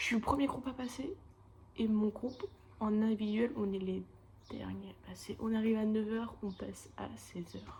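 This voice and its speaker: A woman talks at a moderate pace, her loudness swinging widely, with long, frequent pauses. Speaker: animation student vlogger. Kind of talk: casual vlog. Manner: casual, chatty.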